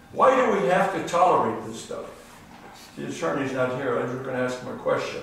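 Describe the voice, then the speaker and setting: A man's lively intonation amid audible room echo and noticeable background noise. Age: 80s+. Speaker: public commenter at city council. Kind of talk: public comment at council meeting. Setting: city council meeting. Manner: agitated, repetitive.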